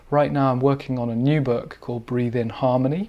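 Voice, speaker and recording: A man with a British accent talks at a moderate pace and medium pitch, with ordinary pitch variation. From UK. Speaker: breathwork teacher and author. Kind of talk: interview.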